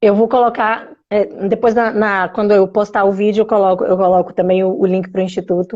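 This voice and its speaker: Speaking fairly quickly with hardly any pauses, a woman keeps a medium pitch. Her intonation is fairly even and her loudness very even. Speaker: live-stream host. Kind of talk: casual chat.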